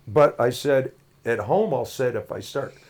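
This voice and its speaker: A man talks at a moderate pace with an American accent and lively intonation. It is a plain, everyday voice at medium pitch. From Washington state, Brewster. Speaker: sports announcer and auto shop owner. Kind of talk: casual chat.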